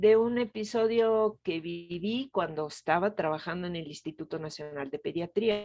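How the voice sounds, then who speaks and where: A woman with an Italian accent, fairly slow pace and ordinary pitch variation. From Italy, Venice. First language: Italian (speaking Spanish). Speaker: gynecologist and reproductive health expert. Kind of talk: interview.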